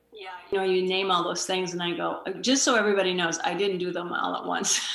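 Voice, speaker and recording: A very fast voice with an American accent and fairly even intonation, amid noticeable background noise and audible room echo. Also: woman, medium pitch for a woman. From Wisconsin, US Midwest. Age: 60s. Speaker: author and communication consultant. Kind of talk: interview. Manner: hesitant, many fillers.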